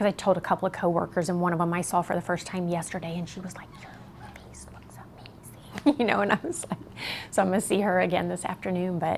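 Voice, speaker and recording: A woman talks at a very fast pace in a fairly low voice with vocal fry. Her loudness swings widely. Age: 50s. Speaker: facelift patient. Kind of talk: interview answer. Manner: casual, upbeat.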